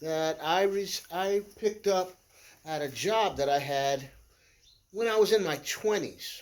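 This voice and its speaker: Lively intonation marks this man's speech. He talks at a very slow pace. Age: 60s. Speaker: DIY video maker. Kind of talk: tutorial. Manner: halting.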